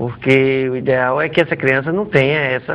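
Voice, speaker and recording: A man speaks in an unremarkable speaking voice. His pitch is fairly high, and his pace is moderate. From Natal, northeastern Brazil. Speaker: orthodontist. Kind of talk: TV interview.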